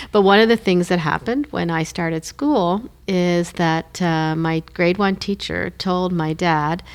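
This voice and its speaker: With a Canadian Maritime accent, a woman talks at a fairly slow pace, leaving hardly any pauses. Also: fairly low pitch for a woman, ordinary pitch variation. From Moncton, New Brunswick, Canada. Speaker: former government commissioner. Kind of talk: interview.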